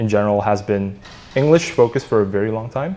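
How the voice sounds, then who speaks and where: Speaking at a fairly quick pace, a man with an Indonesian accent has a fairly low pitch. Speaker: startup co-founder. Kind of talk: podcast interview.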